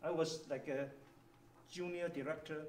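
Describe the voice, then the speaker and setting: A man's fairly high-pitched voice with a Chinese accent, amid noticeable background noise and audible room echo. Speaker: engineering executive. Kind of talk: workshop presentation.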